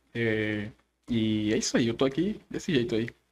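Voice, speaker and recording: A man speaks at medium pitch on a very clean recording with a silent background. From Mozambique. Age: 20s. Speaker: nursing and theology student. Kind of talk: podcast interview.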